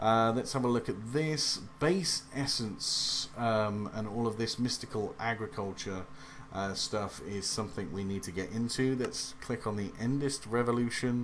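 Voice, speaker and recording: A man speaks with an English accent. His pitch is medium, with ordinary variation. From England. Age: 30s. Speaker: gaming youtuber. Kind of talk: let's play commentary. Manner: hesitant with many fillers.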